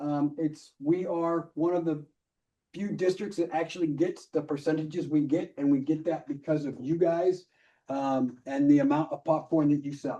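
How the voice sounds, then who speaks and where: A man with a fairly high pitch speaks in a dark, mellow tone and a flat, monotone delivery. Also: moderate pace. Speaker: volunteer trainer. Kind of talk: training presentation. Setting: meeting room with online hybrid audience.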